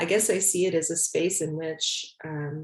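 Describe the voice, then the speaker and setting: This woman has an ordinary speaking voice, fairly low in pitch, with fairly even intonation against a quiet background. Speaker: artist. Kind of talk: panel conversation.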